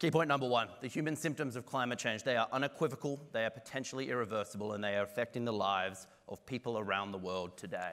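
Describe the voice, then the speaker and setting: Speaking at a very fast pace, a man with an Australian accent has a medium pitch, recorded very cleanly against a silent background. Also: ordinary pitch variation, hardly any pauses. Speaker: climate and health researcher. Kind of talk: conference talk.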